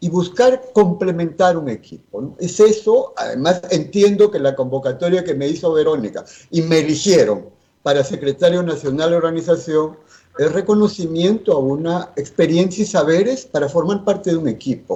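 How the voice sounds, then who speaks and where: A man speaks at a high pitch. His pitch rises and falls in an ordinary way. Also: moderate pace. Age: 60s. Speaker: politician. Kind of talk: interview. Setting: at home, remote.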